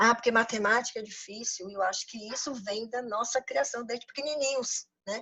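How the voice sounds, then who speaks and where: Moderate pace from a woman, her voice somewhat breathy and fairly high in pitch. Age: 60s. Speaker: financial consultant and business coach. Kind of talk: lecture. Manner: halting, many repetitions.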